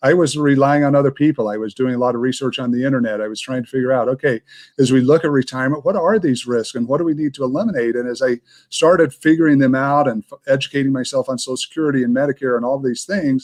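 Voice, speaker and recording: Speaking very fast at a medium pitch with ordinary pitch variation, a man is heard in a dry, close sound with no echo against a quiet background. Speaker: retirement planning educator. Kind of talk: live show Q&A.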